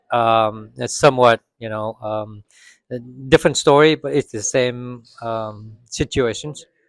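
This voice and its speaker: A man with a Vietnamese accent speaks at a fairly slow pace and medium pitch, with ordinary pitch variation and big swings in loudness. The recording is very clean, with a silent background and a dry, close sound with no echo. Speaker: moviegoer interviewed after screening. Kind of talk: casual interview. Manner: halting, many fillers.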